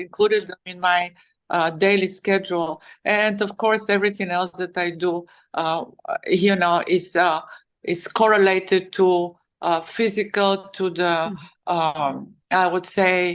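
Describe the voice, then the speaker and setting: A woman speaks with a Bulgarian accent. Her intonation is monotone and flat. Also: medium pitch for a woman, fairly slow pace, quiet background. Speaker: author and wellness advocate. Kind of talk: interview answer. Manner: hesitant, many fillers.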